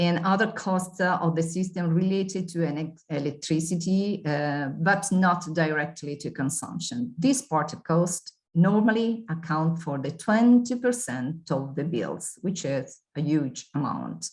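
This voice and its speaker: Somewhat breathy and with lively intonation, a woman speaks at a fairly slow pace. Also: fairly low pitch for a woman, hardly any pauses. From Italy. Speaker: consumer organization representative. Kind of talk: webinar presentation. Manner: halting.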